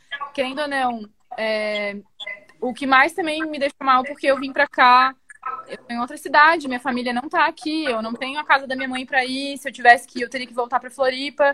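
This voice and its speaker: Against music in the background, a woman speaks in a raised, projected voice at a fairly quick pace, high-pitched with fairly even intonation and big swings in loudness. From Florianópolis, southern Brazil. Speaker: tattoo artist. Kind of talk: interview.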